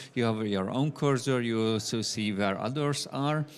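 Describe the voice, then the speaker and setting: This man speaks with a Hungarian accent and fairly even intonation. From Hungary. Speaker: software developer. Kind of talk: conference talk. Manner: frequent fillers, hesitant.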